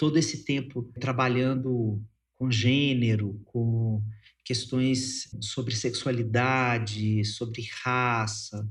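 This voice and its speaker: A man speaks at a very slow pace with fairly even intonation. His voice is somewhat breathy. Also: medium pitch for a man. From Minas Gerais, Brazil. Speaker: psychologist and writer. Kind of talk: interview conversation.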